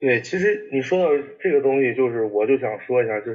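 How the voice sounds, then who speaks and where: A man's voice, pitched fairly high. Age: 20s. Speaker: sneaker enthusiast and content creator. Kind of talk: casual chat.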